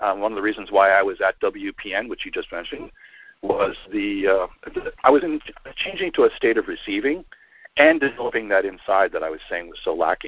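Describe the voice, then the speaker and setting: Spoken at a fairly quick pace with an American accent, this voice shows big swings in loudness. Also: man. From New York. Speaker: speaker, author and podcast host. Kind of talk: interview conversation. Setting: remote call. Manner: fast.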